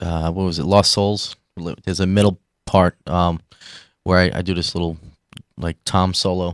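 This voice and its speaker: A man with a New York accent and a very deep, low pitch speaks at a moderate pace in a monotone, flat intonation with long, frequent pauses, recorded dry and close with no echo, very clean against a silent background. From New York City, Staten Island. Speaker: rock band drummer. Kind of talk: casual interview. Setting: live stream broadcast.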